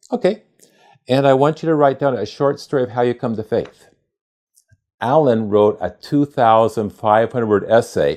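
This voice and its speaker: A man speaks with an American accent at a moderate pace. His is an ordinary speaking voice with ordinary pitch variation. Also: medium pitch for a man. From United States. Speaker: church outreach worker. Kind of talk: testimony.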